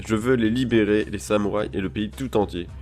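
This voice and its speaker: Over music in the background, a man talks in a fairly low pitch with ordinary pitch variation. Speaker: manga reaction youtuber. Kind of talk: live reaction, reading manga aloud. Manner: halting, self-correcting.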